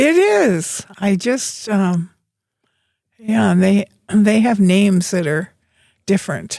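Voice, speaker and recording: With long, frequent pauses and a very slow pace, a woman speaks at medium pitch in a dark, mellow tone with ordinary pitch variation. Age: 90s. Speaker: grandmother and gardener. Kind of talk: casual chat.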